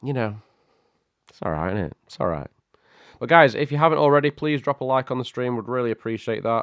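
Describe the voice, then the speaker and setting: With a British accent, a man talks at a very fast pace with lively intonation and long, frequent pauses, in a dry, close sound with no echo. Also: medium pitch for a man, big swings in loudness. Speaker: tech livestream host. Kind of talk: casual livestream chat. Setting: live stream. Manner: animated.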